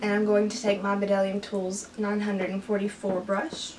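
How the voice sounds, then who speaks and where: A woman talks while light background noise runs beneath her. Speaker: beauty vlogger. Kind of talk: tutorial. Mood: relaxed, cheerful. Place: home room. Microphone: camera far.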